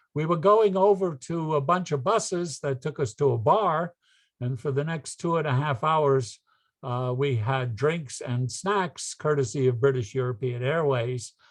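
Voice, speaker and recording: Against a quiet background, a man with a fairly high pitch talks in a somewhat breathy voice with lively intonation. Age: 80s+. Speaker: philatelic society director and lecturer. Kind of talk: lecture. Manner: halting.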